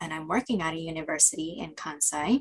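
Speaking at a fairly quick pace, a woman with an American accent uses ordinary pitch variation. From United States. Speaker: Japan studies specialist and translator. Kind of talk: casual interview.

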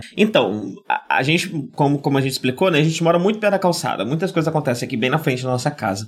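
Fairly high in pitch, a man rattles along at a very fast pace. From Brazil, São Paulo. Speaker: podcast host. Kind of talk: casual chat. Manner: projected, firm podcast voice.

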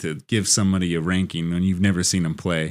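The pace is very fast. The recording is very clean with a silent background. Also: man. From Sacramento County, California. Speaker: guest, college football fan. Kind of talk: casual chat.

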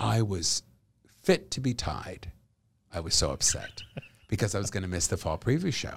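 Over a silent background in a very clean recording, the voice moves at a fairly quick pace with lively intonation and a somewhat breathy quality. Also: man. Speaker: comedian and actor. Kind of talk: casual interview chat.

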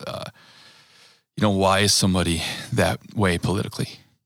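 A man with an American accent talks at a moderate pace. His very deep, low voice shows vocal fry and ordinary pitch variation. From US Midwest, Wisconsin (Green Bay area). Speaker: churchgoer, father of five. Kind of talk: casual chat.

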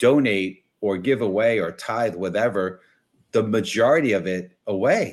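Lively intonation marks this man's fairly low voice. The recording is very clean, the background silent. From US Northeast, New York City (Bronx). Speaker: business networking coach and author. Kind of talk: interview. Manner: halting, many repeated words and fillers.

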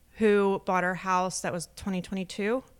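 A Philadelphia accent at a moderate pace in a very clean recording with a silent background. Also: woman. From US, Delaware County, Pennsylvania (Philadelphia area). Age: 30s. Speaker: real estate agent and podcast co-host. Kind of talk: casual chat.

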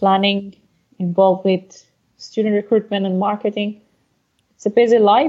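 Pausing long and often, a woman with a Persian accent talks at a moderate pace with fairly even intonation and a dark, mellow tone. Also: medium pitch for a woman. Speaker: podcast co-host. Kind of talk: casual chat.

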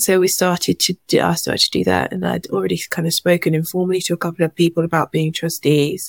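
A woman with an English accent talks at a very fast pace with hardly any pauses. The sound is dry and close with no echo. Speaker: charity founder. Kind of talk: testimony.

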